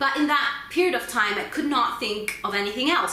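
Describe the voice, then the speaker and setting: A woman with an Italian accent and lively intonation, plus audible room echo and noticeable background noise. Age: 30s. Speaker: book vlogger. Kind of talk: personal vlog talk. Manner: fast; halting.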